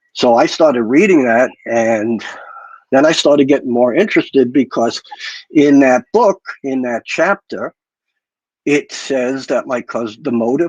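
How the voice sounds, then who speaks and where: Here is a man with a plain, everyday voice and a medium pitch. He speaks at a fairly slow pace in a dry, close sound with no echo. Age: 60s. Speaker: guest on mafia history livestream. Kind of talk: personal storytelling on livestream.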